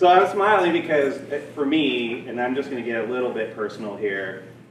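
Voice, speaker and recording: There is audible room echo and noticeable background noise. Through it, a man with an American accent speaks with ordinary pitch variation. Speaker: county supervisor. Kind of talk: ceremony speech.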